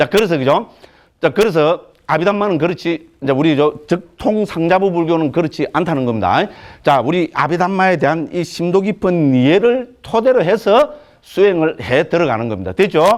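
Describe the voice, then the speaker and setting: A man's high, animated voice in a Gyeongsang accent, fairly quick, with lively intonation. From Gyeongsang province, Korea. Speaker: Buddhist monk teacher. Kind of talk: lecture. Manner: animated, colloquial.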